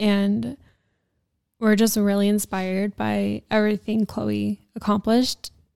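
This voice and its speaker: A woman speaks at a fairly slow pace in a medium pitch. The very clean recording has a silent background and a dry, close sound with no echo. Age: 20s. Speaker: esthetician and podcast host. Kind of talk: casual chat.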